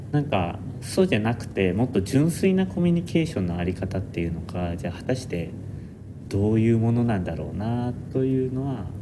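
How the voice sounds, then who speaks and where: A man with a Kansai accent, medium pitch and very wide pitch swings at a fairly quick pace, with audible room echo. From Japan, Nara. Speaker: architecture student. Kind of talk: casual chat.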